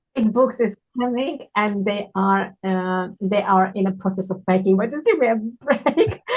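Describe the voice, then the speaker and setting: A woman with a non-native accent, somewhat breathy and medium in pitch, at a fairly slow pace with ordinary pitch variation and hardly any pauses. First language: not English. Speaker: children's book author. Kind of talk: casual interview.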